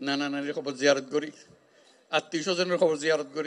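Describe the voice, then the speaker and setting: A man with a Chittagong accent and fairly high pitch. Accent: Chittagonian dialect. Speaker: Nobel laureate, head of government. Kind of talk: public speech to refugees.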